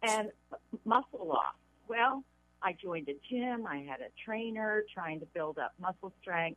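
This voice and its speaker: A woman with a normal speaking voice, medium pitch, lively intonation and a fairly slow pace. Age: 60s. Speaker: caller. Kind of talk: phone-in question. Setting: phone call.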